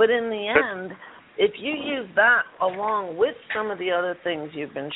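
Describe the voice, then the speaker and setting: Against noticeable background noise, a woman speaks with an American accent at medium pitch. Her intonation is lively and her pace fairly slow. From Chicago. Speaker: radio show co-host. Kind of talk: interview. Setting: call-in radio show.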